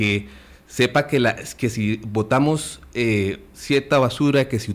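A man's normal speaking voice at medium pitch with ordinary pitch variation. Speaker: conservation foundation representative. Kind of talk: radio interview.

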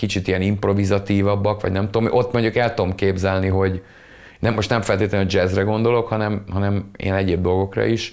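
An ordinary speaking voice, a man at a fairly quick pace and fairly low pitch. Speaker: musician. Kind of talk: casual chat. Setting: video call.

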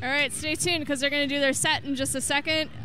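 Music plays in the background. Over it, a woman with a high pitch speaks in a raised, projected voice. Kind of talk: live radio co-host banter, interviewing young bands. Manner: enthusiastic, friendly, lively.

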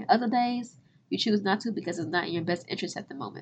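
Somewhat breathy, a woman with an American accent talks at a very fast pace. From southern Illinois (Cairo). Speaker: podcast host, finance educator. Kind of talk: casual monologue. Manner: animated.

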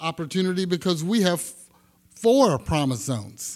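This man has a high pitch and talks at a moderate pace. The recording is very clean, with a silent background. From Texas, Houston. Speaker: housing agency development director. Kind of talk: panel discussion.

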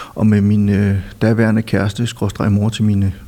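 This is a dark, mellow-toned voice. Its speed is moderate. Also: man. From Denmark, Silkeborg (Jutland). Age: 50s. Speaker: film critic and author. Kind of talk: casual interview. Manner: hesitant, many fillers.

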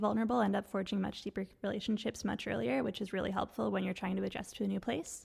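Very fast speech in a Canadian accent, with vocal fry and ordinary pitch variation. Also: woman. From Quebec. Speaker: doctoral student. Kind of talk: casual chat.

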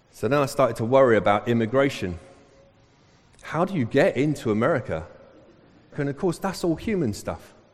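In a London accent, a man of medium pitch talks at a fairly quick pace, his pitch swinging very widely between long, frequent pauses. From England, Southall (west London). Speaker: pastor. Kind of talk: sermon. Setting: church.

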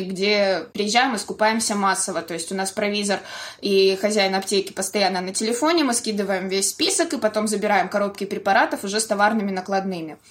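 A woman's medium-pitched voice moves at a very fast pace. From Belgorod, Russia. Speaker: volunteer organizer, former photographer. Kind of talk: interview.

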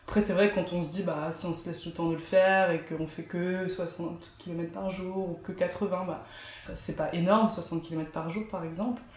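A fairly low female voice, fairly slow and monotone, with audible room echo. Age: 20s. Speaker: cycling adventurer. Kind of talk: interview. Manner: halting, many fillers and repetitions.

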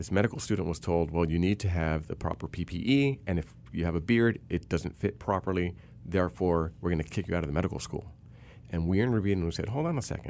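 Speaking at a very fast pace, a man with a very deep, low pitch shows ordinary pitch variation. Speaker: civil rights attorney and policy fellow. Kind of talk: interview discussion.

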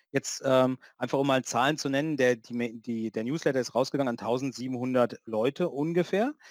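On a very clean recording with a silent background and a dry, close sound free of echo, the speaker moves at a moderate pace with ordinary pitch variation. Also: man. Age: 50s. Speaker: conference organizer and IT consultant. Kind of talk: casual chat. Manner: halting, many fillers.

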